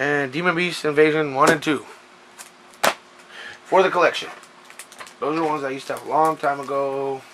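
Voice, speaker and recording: Noticeable background noise behind a man's fairly high voice, moderate pace and fairly even intonation. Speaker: collector showing pickups. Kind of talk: casual talk to camera. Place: home room. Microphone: camera far.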